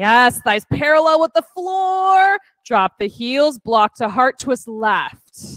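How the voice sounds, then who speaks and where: A woman speaks in a high pitch with very wide pitch swings. Her pace is very slow, and the background is quiet. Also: dry sound with no echo. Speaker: fitness instructor. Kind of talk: guided yoga class, cueing poses. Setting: in-person studio class with online participants. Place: gym.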